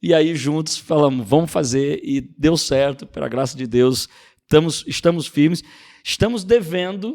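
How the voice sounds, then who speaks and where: A man with a fairly high voice speaks at a fairly slow pace. His intonation is lively. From Rio de Janeiro city, Brazil. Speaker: pastor and youth leader. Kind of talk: podcast interview.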